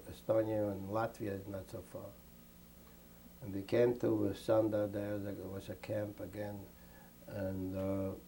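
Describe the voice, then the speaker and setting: Somewhat breathy and dark, mellow in tone, a man speaks fairly slowly at a fairly low pitch. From Lithuania. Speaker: Holocaust survivor. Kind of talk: interview answer.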